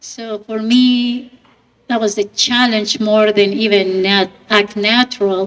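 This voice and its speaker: A woman with a non-native accent speaks at a very slow pace. Her fairly high voice has monotone, flat intonation. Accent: foreign. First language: not English. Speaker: actress and podcast radio host. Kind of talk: panel Q&A.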